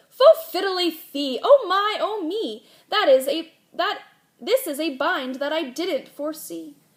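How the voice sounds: Putting on a character voice, a woman speaks with an extremely high pitch and lively intonation at a fairly slow pace.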